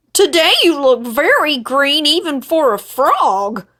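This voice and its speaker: Putting on a character voice, a woman talks at a fairly slow pace with a high pitch. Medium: read story.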